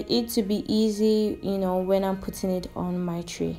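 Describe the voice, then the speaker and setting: The speech moves at a moderate pace with fairly even intonation and music in the background. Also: woman. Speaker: DIY vlogger. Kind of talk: tutorial.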